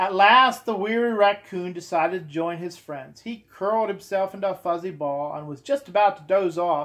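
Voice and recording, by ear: In a natural voice, someone reads aloud while the pitch varies in an ordinary way.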